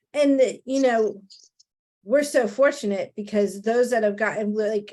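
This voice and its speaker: Someone with a New Jersey accent speaks at a moderate pace with lively intonation. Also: woman. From New Jersey, Italian-American. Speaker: real estate trainer, podcast co-host. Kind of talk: casual chat.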